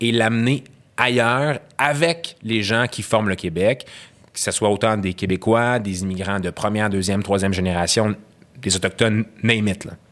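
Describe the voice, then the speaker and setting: A man talks at a fairly slow pace in a plain, everyday voice of medium pitch. The recording is very clean, with a silent background. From Quebec, Syrian parents. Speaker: guest, graduate student. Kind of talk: casual conversation, interview. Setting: studio.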